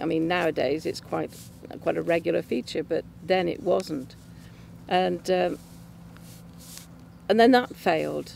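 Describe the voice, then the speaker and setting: Speaking in an English accent, a woman keeps a medium speed. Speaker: churchgoer giving testimony. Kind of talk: testimony. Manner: halting, many fillers.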